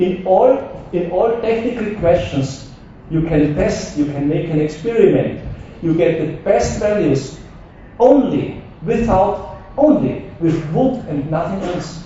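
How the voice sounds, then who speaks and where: A man's high-pitched voice at a very slow pace, with audible room echo and noticeable background noise. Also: lively intonation. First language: not English. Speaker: wood technology expert. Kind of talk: conference talk. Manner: halting.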